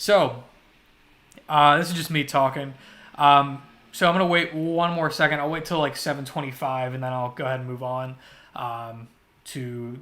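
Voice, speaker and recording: A man speaks with a fairly high pitch and a bright, sharp tone, his intonation fairly even. His loudness swings widely, and long, frequent pauses break up his speech. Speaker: artist streamer. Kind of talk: casual live stream chat. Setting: live stream. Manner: fast. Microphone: audio output issue at start.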